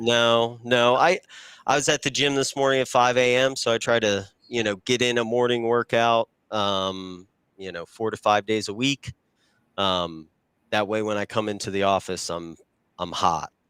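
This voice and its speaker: Recorded with a dry, close sound and no echo, a man with a normal speaking voice talks at medium pitch and a moderate pace, with ordinary pitch variation. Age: 30s. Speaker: freight broker, former Marine. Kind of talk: casual interview chat.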